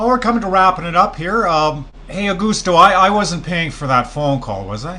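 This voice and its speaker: A man with a Canadian accent and a high voice talks at a moderate pace with lively intonation and hardly any pauses, over noticeable background noise. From Canada. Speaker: radio host. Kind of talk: interview.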